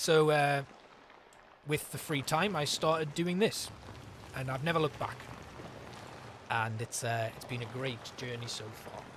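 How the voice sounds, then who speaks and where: This man has a North East England accent, a relaxed tone and a fairly high pitch with ordinary pitch variation. His loudness swings widely, he leaves long, frequent pauses, and there's noticeable background noise. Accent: North East English (Geordie). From North East England, Newcastle upon Tyne. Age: 30s. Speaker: gaming streamer. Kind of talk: casual chat. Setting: live stream. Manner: relaxed, hesitant with fillers.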